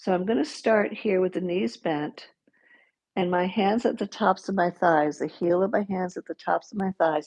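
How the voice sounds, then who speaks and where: A woman speaks in a calm tone at medium pitch, dark and mellow. She goes at a fairly slow pace with ordinary pitch variation. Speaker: yoga teacher. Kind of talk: guided yoga class. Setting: livestream. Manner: instructional, calm.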